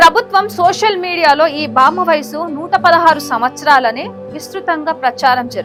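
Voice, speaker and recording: Background music can be heard. The speaker's intonation is lively. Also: woman. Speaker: news presenter. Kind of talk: news story narration.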